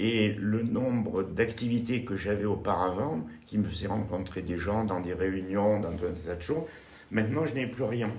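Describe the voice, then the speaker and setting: Amid noticeable background noise and audible room echo, a man with a fairly low pitch talks at a fairly slow pace with ordinary pitch variation. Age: 70s. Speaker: retired civil aviation worker seeking a partner. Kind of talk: interview. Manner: hesitant.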